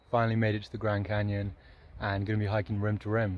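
A man with a fairly low pitch is heard over light background noise, the sound dry with no echo. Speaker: thru-hiker vlogger. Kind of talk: casual vlog chat. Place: open country. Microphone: phone near.

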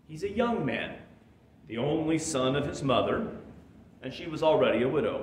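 Against light background noise and audible room echo, a man speaks with lively intonation. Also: moderate pace. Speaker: pastor. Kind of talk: sermon. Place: church.

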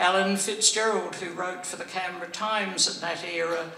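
A woman speaks in an Australian accent. There is light background noise and audible room echo. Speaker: former senator. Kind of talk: speech. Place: hall. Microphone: podium.

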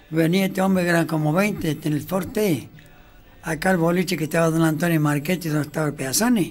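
A man's fairly high voice at a fairly quick pace, with music in the background. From Colonia Caroya, Córdoba, Argentina. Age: 80s+. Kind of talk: reminiscing anecdote.

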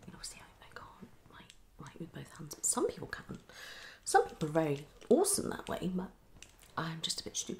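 A woman whispers at a fairly quick pace, breaking often into long pauses. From UK. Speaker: ASMR creator. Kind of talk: ASMR video. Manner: soft-spoken. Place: home room. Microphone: phone near.

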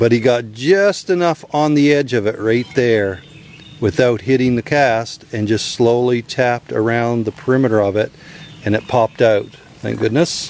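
With light background noise and a dry sound with no echo, a man speaks at a moderate pace with ordinary pitch variation. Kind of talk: tutorial. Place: open country. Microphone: phone near.

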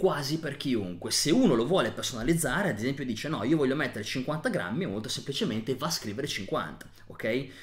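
A man speaks at a moderate pace with very wide pitch swings and vocal fry. The background is quiet. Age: 30s. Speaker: nutrition educator. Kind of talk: tutorial. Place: home room.

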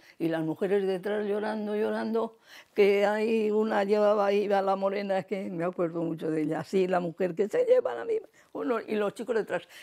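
Against a quiet background, a woman speaks at a moderate pace. Her tone is dark and mellow, with ordinary pitch variation. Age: 80s+. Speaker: elderly oral history interviewee; interviewee. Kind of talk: oral history testimony. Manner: halting, conversational. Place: home room. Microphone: lapel.

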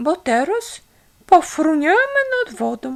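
A woman puts on a squeaky character voice, high in pitch, at a fairly slow pace. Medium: read story. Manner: formal, dignified.

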